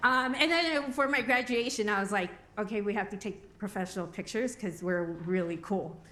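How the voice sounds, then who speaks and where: A woman with a fairly high pitch speaks in a bright, sharp tone with lively intonation, and the room echo is audible. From Albuquerque, New Mexico. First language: Spanish. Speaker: recovery program coordinator. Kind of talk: conference talk. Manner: casual, joking.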